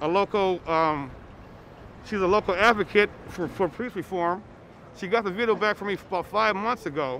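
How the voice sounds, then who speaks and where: A man speaks at a moderate pace in a high pitch with ordinary variation and a bright, sharp tone. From Minnesota. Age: 60s. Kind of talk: street interview testimony. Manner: halting.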